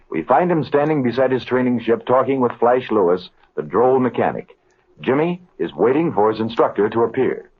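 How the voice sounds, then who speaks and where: A man talks at a moderate pace with lively intonation and a medium pitch, in an ordinary speaking voice. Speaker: radio announcer. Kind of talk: vintage radio drama narration.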